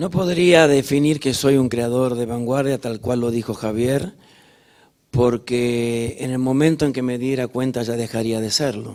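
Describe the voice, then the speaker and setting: With a Rioplatense accent, a man speaks at a fairly slow pace and with fairly even intonation. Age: 60s. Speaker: musical theatre director and choreographer. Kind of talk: onstage interview. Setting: stage with audience.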